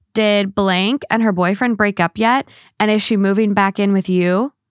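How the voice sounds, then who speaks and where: A woman at a moderate pace, with a dry sound with no echo and a quiet background. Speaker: podcast co-host. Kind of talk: casual advice chat. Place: home room. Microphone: studio mic.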